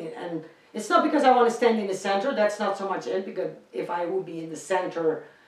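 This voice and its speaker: Her medium-pitched voice races at a very fast pace with lively intonation, amid audible room echo and noticeable background noise. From Netherlands. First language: Dutch. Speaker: singer. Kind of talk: casual interview.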